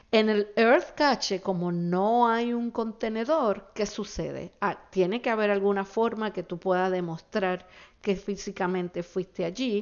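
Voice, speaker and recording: A woman's medium-pitched voice, fairly slow yet with hardly any pauses, and with ordinary pitch variation. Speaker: podcast host. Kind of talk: solo podcast monologue. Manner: hesitant, many fillers.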